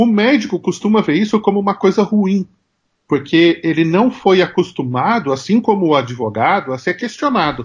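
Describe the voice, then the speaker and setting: A high-pitched man keeps a moderate pace and very even loudness. His pitch swings very widely over a quiet background. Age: 40s. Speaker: marketing consultant and professor. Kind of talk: interview.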